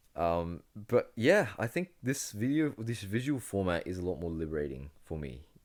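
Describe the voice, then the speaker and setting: A man with a fairly low pitch speaks with hardly any pauses, his pitch swinging very widely. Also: moderate pace. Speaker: podcast host. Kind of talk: solo podcast monologue. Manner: animated; halting.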